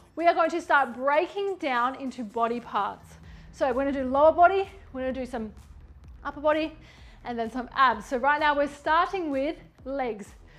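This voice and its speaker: A woman with an Australian accent, high-pitched, at a fairly quick pace, with ordinary pitch variation. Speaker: fitness trainer. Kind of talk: workout instruction.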